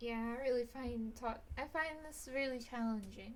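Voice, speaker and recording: Quiet and high-pitched, a woman speaks at a moderate pace with fairly even intonation amid audible room echo. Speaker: artist streamer. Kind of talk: casual drawing commentary. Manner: halting, stammering.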